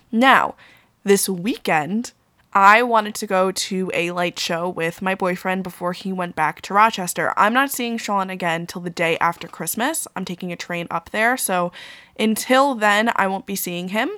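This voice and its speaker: At a moderate pace, a woman with an American accent speaks at medium pitch in a bright, sharp tone with ordinary pitch variation. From Long Island, New York. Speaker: podcast host. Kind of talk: solo podcast monologue. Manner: casual, conversational.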